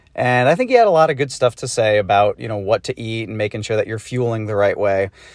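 In an American accent, a man has a normal speaking voice at medium pitch with ordinary pitch variation, recorded with a dry, close sound with no echo against a quiet background. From US Northeast, Massachusetts. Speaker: listener. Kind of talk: recorded voice message.

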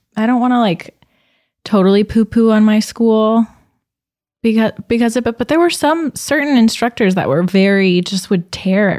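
A normal speaking voice, a woman's at fairly high pitch, comes at a moderate pace in a dry, close sound with no echo. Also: very even loudness. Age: 20s. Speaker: podcast host. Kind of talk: casual chat.

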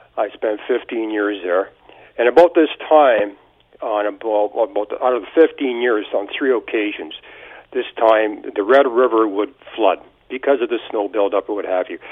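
This man speaks with a Canadian accent at a moderate pace. His pitch is medium, with ordinary pitch variation. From southwestern Ontario, Canada. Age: 50s. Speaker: caller. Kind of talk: call-in. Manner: halting.

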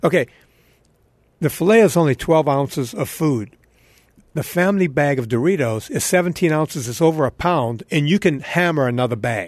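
Against a quiet background, a man with a New York accent speaks at a moderate pace, his fairly high pitch carrying lively intonation. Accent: New York-sounding English. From US South (Louisiana). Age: 50s. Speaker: fitness trainer. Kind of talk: casual chat.

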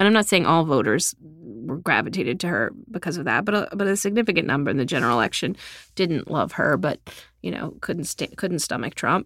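A woman with an American accent talks at a fairly quick pace, her fairly low pitch swinging very widely and dipping into vocal fry. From South Texas. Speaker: journalist and author. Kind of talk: reading aloud from her book; interview conversation.

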